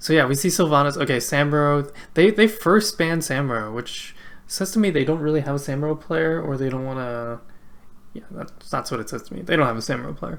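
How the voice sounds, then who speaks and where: The speech has a slight Canadian accent. It moves at a fairly quick pace. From Canada. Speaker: esports caster. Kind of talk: live commentary. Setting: live stream. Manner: casual, filler-heavy.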